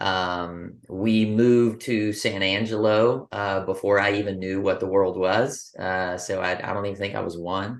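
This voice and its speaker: In a Texan accent, a man with a fairly low pitch and fairly even intonation talks with hardly any pauses against a quiet background. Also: fairly slow pace. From West Texas, Abilene. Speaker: business coach. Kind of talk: interview. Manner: halting.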